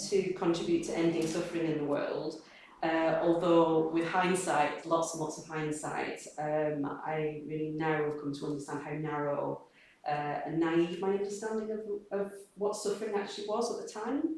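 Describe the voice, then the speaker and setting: A woman speaks at a fairly low pitch with ordinary pitch variation. Audible room echo and noticeable background noise fill the recording. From northern England, Accrington, East Lancashire. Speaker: Buddhist practitioner speaker. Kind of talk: personal testimony talk. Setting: community gathering with small audience. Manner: halting.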